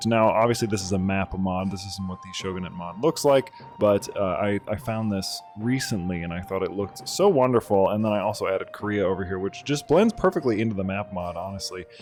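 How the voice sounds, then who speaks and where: Over music in the background, a man talks at a fairly low pitch with ordinary pitch variation and hardly any pauses. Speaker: gaming YouTuber. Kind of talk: casual gameplay commentary.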